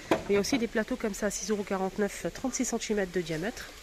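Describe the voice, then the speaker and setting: A woman's medium-pitched voice at a fairly quick pace with fairly even intonation, amid noticeable background noise. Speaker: vlogger. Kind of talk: shopping vlog. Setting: in a store. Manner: hesitant, many fillers.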